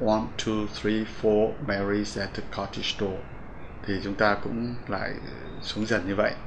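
There is noticeable background noise as a man with a fairly low pitch speaks at a fairly slow pace. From Vietnam. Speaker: English pronunciation teacher. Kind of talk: lecture. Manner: formal; halting. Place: studio.

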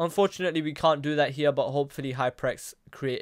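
Speaking fast, a man uses a medium pitch with ordinary pitch variation and a clear, smooth tone.

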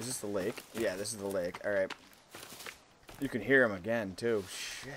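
Speaking with an American accent, a man talks at a moderate pace in a fairly low pitch. His intonation stays fairly even, and there is noticeable background noise. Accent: Boston accent, comes out when scared. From Boston, US. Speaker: gaming streamer. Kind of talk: let's play commentary.

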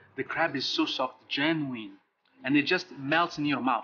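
Speaking at a fairly slow pace, a man with a medium pitch has a bright, sharp tone and a slightly husky edge.

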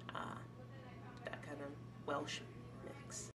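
Noticeable noise is present in the background. A woman talks through it. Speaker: college student. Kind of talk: interview testimony. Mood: calm, reflective. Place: hall. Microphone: camera far.

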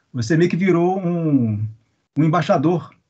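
Somewhat breathy, a man speaks at a very slow pace with very wide pitch swings against a quiet background. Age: middle-aged. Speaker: interviewer. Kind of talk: interview. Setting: video call. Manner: halting. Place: home room. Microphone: video call.

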